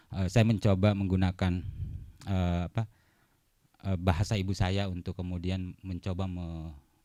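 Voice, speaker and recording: A man talks fairly quickly in a very deep, low pitch with a dark, mellow tone. The recording is very clean, with a silent background. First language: Bugis (speaking Indonesian). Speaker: poet. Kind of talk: book talk interview. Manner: hesitant, many fillers.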